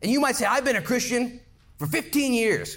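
An animated tone at a moderate pace, with audible room echo. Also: man. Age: 40s. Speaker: pastor. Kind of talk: sermon.

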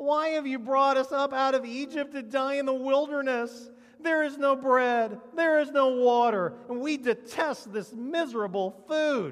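In a put-on character voice, the speaker whines at a high pitch and a moderate pace, with hardly any pauses. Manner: whiny.

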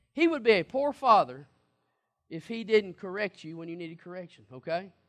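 Raising and projecting his voice, a man talks at a moderate pace with lively intonation against a quiet background. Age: 40s. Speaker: pastor. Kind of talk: sermon.

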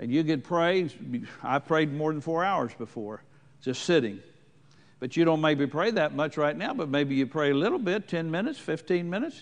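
Lively intonation from a man with an ordinary speaking voice, fairly high in pitch, at a moderate pace. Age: 60s. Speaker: preacher. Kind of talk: sermon.

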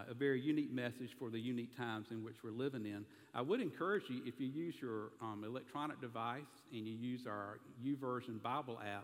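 This man talks very fast with a Southern US accent, his medium pitch showing ordinary variation. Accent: Southern American. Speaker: pastor. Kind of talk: sermon.

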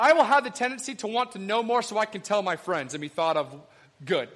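A man's voice over noticeable background noise. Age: 30s. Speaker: preacher. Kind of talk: sermon.

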